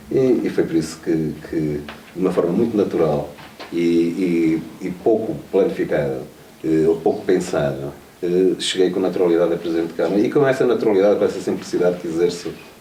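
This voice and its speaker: Amid noticeable background noise and audible room echo, a man with a very deep, low pitch speaks at a fairly quick pace with ordinary pitch variation. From Trás-os-Montes, northern Portugal (Vila Pouca de Aguiar). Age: 40s. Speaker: mayor. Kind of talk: interview. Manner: hesitant, with frequent fillers and repetitions.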